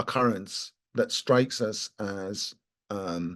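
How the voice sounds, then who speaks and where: In a Scottish accent, the speaker talks with ordinary pitch variation against a quiet background. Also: man. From Scotland. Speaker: lawyer. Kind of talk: panel discussion. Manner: halting.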